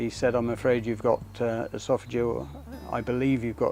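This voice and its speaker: This man speaks at a moderate pace and a medium pitch, with ordinary pitch variation and an unremarkable speaking voice. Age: 60s. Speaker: cancer survivor. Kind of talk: testimony.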